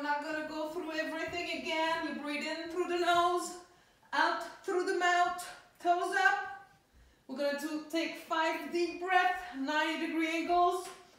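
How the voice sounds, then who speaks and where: In strong room echo, a woman speaks in an extremely high pitch at a fairly slow pace, her intonation monotone and flat. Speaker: fitness coach. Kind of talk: workout instruction. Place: home room. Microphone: camera far.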